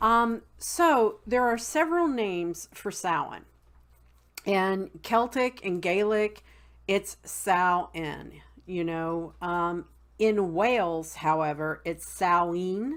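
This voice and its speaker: A woman with a Southern accent at a very slow pace, medium in pitch with lively intonation, in a very clean recording over a silent background. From West Virginia, Appalachian mountains. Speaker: witchcraft video blogger. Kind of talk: casual tutorial. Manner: many fillers (um, uh).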